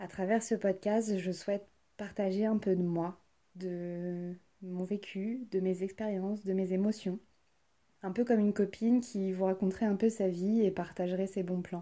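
Speaking at a fairly slow pace, the woman has a dark, mellow tone, a medium pitch and monotone, flat intonation. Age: 20s. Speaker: podcast host, trainee psychotherapist. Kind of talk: scripted monologue.

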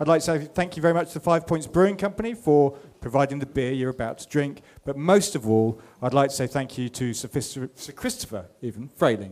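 Speaking at a fairly quick pace with a fairly high pitch, a man has a normal speaking voice and big swings in loudness. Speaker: magazine editor. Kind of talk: live interview and event hosting. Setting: showroom with live audience.

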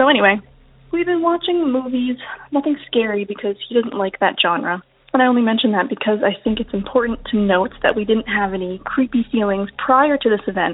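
A normal speaking voice from a woman with an American accent, fairly high pitch, lively intonation and a fairly quick pace. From North Carolina, Outer Banks. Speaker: science teacher. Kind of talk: voicemail story.

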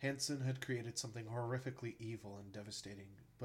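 The clip features an unforced reading voice.

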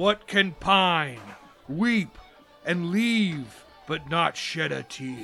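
Faint music plays behind a man using a put-on character voice with a high pitch. He talks at a very slow pace, with long, frequent pauses. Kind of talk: theatrical riddle-posing. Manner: playful, mock-menacing, jolly.

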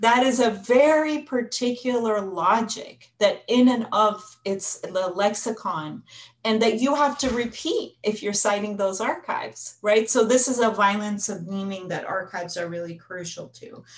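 An unremarkable speaking voice from a woman with an American accent, fairly high in pitch, fairly slow, with ordinary pitch variation. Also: big swings in loudness. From United States. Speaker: history professor. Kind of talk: panel discussion.

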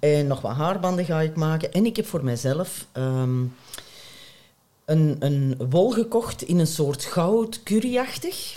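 A woman speaks very slowly in a very deep, low voice, her pitch swinging very widely. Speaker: knitter. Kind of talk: casual chat. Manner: animated.

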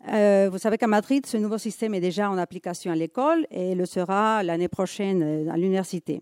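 In a dark, mellow tone, a woman with a Spanish accent speaks at a fairly quick pace on a very clean recording with a silent background. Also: dry, close sound with no echo. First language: Spanish (speaking French). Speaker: museum conservator. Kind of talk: conference talk.

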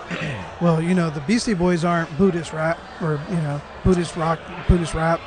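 Through noticeable background noise, a man with a high pitch speaks at a moderate pace with fairly even intonation. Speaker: podcast host and interviewer. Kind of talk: casual interview conversation. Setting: hotel lobby.

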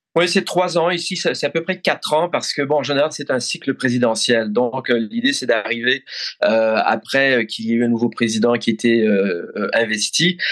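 Lively intonation in a man's medium-pitched voice. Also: moderate pace. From Belgium (Brussels). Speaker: foreign correspondent journalist. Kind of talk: interview. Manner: halting, repeats words.

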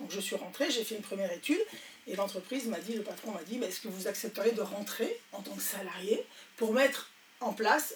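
A woman with a fairly high pitch talks at a fairly quick pace. Noticeable background noise is present. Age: 60s. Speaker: entrepreneur. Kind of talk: interview. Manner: hesitant.

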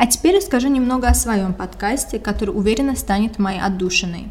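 With vocal fry and a fairly high pitch, a woman speaks at a fairly quick pace and varies her pitch in an ordinary way. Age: 20s. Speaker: podcast host. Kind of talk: scripted monologue.

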